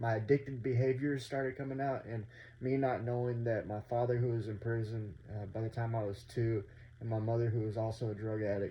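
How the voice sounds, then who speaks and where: Talking fairly quickly with an American accent, a man uses a medium-pitched, somewhat breathy voice with monotone, flat intonation. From North Texas. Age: 30s. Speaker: vlogger sharing addiction recovery story. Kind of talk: personal testimony vlog. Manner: casual, many fillers (um, uh).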